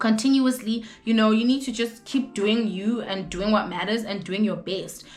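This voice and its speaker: Noticeable background noise sits under a woman's fairly high voice. She keeps a moderate pace with hardly any pauses and fairly even intonation. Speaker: vlogger. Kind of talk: casual chat. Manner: loud.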